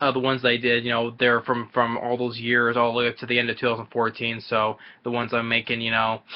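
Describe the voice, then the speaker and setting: Talking at a very fast pace with hardly any pauses, a man holds a medium pitch in a monotone, flat intonation. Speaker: YouTuber answering viewer questions. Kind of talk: casual Q&A monologue. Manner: stutters and repeats when talking fast; halting, many fillers like you know.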